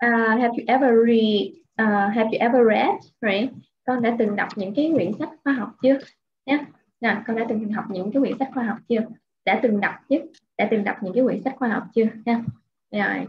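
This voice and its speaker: With light background noise, a woman speaks at a fairly high pitch and fairly quick pace, using fairly even intonation and long, frequent pauses. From Vietnam. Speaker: English teacher. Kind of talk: online English lesson. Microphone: webcam.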